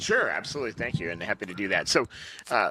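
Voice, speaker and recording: In a Massachusetts accent, a man with a bright, sharp tone talks at a very fast pace, on a very clean recording with a silent background and a dry, close sound with no echo. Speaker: travel company executive. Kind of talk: interview. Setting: conference venue.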